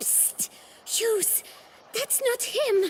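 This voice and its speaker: A woman performs a put-on character voice. Clear background noise is present. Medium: video game.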